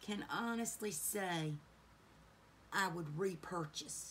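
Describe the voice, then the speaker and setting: A woman's pitch rises and falls in an ordinary way, with a little noise behind her. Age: 40s. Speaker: beauty YouTuber. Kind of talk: makeup tutorial chat. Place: home room. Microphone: phone near.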